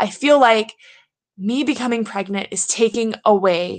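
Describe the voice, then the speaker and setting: An ordinary speaking voice with an American accent moves at a fairly slow pace. Its pitch variation is ordinary. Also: woman. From US South, Louisiana. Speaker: podcast host, Paralympic snowboarder. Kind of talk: motivational monologue.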